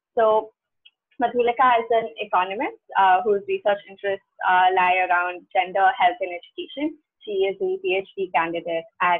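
A woman speaks at a moderate pace with medium pitch. Hers is an unremarkable speaking voice. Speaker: event organizer. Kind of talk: event hosting. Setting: video call.

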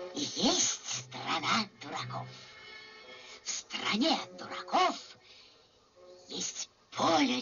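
A woman's put-on character voice, very slow and broken by long, frequent pauses. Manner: wheedling, flattering.

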